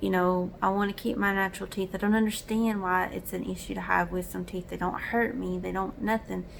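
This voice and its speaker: A woman with a Southern US accent talks at a fairly quick pace, with hardly any pauses. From US South. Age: 30s. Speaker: vlogger. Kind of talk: casual chat.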